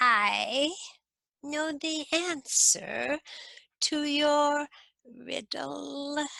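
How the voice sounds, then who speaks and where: Using a high-pitched put-on character voice, a woman speaks at a very slow pace with long, frequent pauses. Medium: read story. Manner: sly, knowing.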